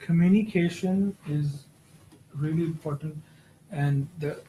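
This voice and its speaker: The tone is dark and mellow, with a non-native accent. The pace is fairly slow and the intonation fairly even. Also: man. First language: not English. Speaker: exam prep session leader. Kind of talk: peer discussion session. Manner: halting.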